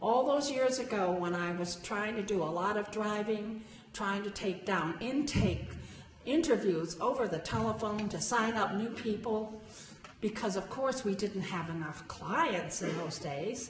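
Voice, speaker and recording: Speaking at a fairly slow pace in a medium pitch, a woman uses lively intonation over noticeable background noise and audible room echo. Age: 80s+. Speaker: founding volunteer of a senior services group. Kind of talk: speech at a gala.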